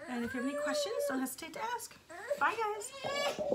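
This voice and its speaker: A squeaky, put-on character voice moves at a fairly quick pace with very wide pitch swings. Loud background noise runs behind it. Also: woman, extremely high pitch for a woman. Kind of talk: preschool story time. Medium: read story. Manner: bright, enthusiastic.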